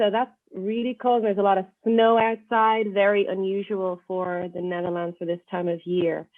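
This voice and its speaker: A woman with an Irish accent talks at a moderate pace and medium pitch, with fairly even intonation and hardly any pauses. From Ireland. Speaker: university lecturer. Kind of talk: podcast interview. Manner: hesitant, many fillers.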